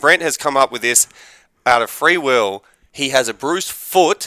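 This man has a bright, sharp tone and a fairly high pitch, with an Australian accent and ordinary pitch variation. The recording is very clean with a silent background. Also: dry, close sound with no echo. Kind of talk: casual chat. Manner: animated.

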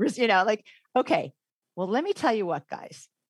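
A woman with an American accent has a plain, everyday voice, captured as a dry, close sound with no echo on a very clean recording with a silent background. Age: 50s. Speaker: former English professor. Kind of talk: interview.

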